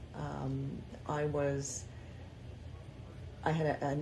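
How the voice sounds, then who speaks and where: A woman's voice with audible room echo. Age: 60s. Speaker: grandmother interviewee. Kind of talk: casual interview.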